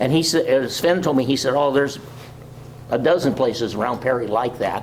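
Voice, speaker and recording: Medium-pitched male speech at a fairly quick pace, with ordinary pitch variation, very even loudness and audible room echo. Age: 80s+. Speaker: local historian presenter. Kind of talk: community talk with slides. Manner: halting.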